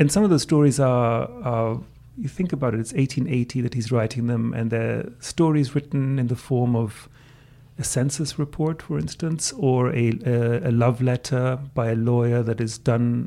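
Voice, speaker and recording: A German accent, with ordinary pitch variation and a moderate pace. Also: man. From Greece. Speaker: translation professor. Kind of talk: interview answers. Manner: measured, hesitant with repeated words.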